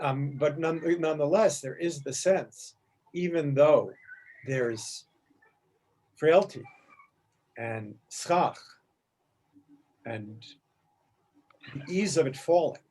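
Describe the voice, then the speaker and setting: Long, frequent pauses break up speech that has ordinary pitch variation and big swings in loudness. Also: man, fairly high pitch for a man. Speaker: teacher leading a text study. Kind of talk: class discussion on rabbinic texts. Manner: halting, self-correcting; fast.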